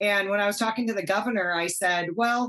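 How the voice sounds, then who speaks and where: The speaker has a Wisconsin accent and lively intonation. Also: woman. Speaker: TV hunting show host and wildlife commissioner. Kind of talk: casual chat.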